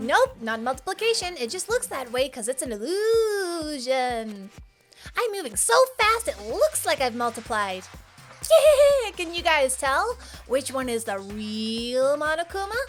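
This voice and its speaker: Putting on a playful character voice, a woman speaks high-pitched at a moderate pace as music plays clearly in the background. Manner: playful, teasing.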